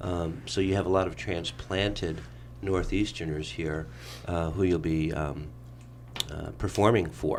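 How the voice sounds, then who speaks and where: This man has a very deep, low voice with vocal fry and a New York accent. He talks at a fairly slow pace with long, frequent pauses, and audible room echo fills the space. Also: ordinary pitch variation. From New York (Brooklyn). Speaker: radio talk show host. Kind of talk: radio interview.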